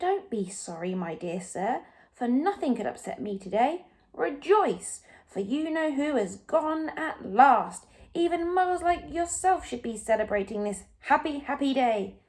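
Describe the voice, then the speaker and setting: The put-on character voice is squeaky and moves at a moderate pace, its pitch swinging very widely. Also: woman, high pitch for a woman. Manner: gleeful, jubilant.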